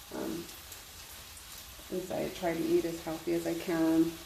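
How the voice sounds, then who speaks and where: A soft-spoken woman with a very deep, low pitch talks at a fairly slow pace, with noticeable background noise and audible room echo. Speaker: cooking vlogger. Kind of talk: casual cooking vlog. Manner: hesitant, many fillers. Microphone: without a microphone at first, may be quiet.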